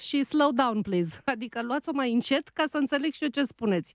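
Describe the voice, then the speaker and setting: Against a quiet background with a dry sound and no echo, a woman speaks at a moderate pace, her high pitch carried by lively intonation. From Romania, outside Bucharest. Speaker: radio host and writer; radio host. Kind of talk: casual chat. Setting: studio. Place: studio. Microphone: studio mic.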